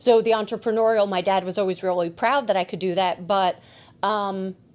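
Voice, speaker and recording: A woman with a New Jersey accent at medium pitch and fairly even intonation, in a very clean recording with a silent background. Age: 40s. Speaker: podcast host and shop owner. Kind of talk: casual chat. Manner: fast.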